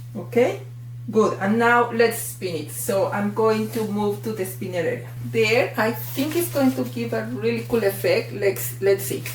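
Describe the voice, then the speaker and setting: Someone with a Mexican accent talks at a fairly slow pace against noticeable background noise. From Mexico. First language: Spanish. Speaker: art tutorial creator. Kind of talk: tutorial. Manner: animated.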